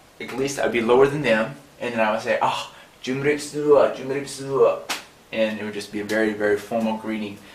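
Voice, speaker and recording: A man with a medium-pitched voice speaks in a room with audible echo and noticeable background noise. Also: fairly even intonation, fairly quick pace. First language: not Khmer; non-native Khmer speaker. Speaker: language teacher. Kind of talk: tutorial.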